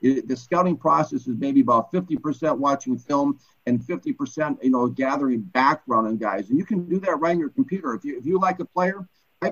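Here is a man with an American accent at a moderate pace. His intonation is lively. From Minnesota, US. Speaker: former NFL scout and author. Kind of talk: interview. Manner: halting, repeats words.

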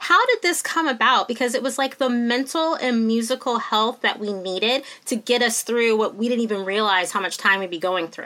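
Over noticeable background noise, a woman speaks at a fairly high pitch. Her intonation is lively. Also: fairly quick pace. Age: 40s. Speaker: podcast host, magazine editor. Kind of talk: interview.

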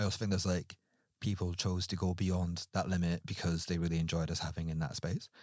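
With a very deep, low pitch, a man speaks at a very fast pace with very even loudness and fairly even intonation, in a very clean recording with a silent background. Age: 30s. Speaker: podcast guest. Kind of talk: casual chat.

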